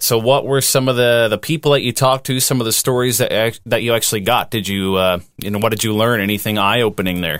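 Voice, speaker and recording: Speaking very fast with hardly any pauses, a man keeps a medium pitch and ordinary pitch variation. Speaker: podcast co-host. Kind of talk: casual chat.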